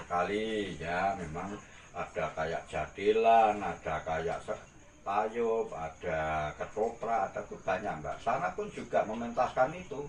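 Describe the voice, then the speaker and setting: The speaker's intonation is lively. The pace is very slow. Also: man, fairly low pitch for a man. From Gunung Kidul, Java, Indonesia. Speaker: artist and costume rental owner. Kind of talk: interview answer.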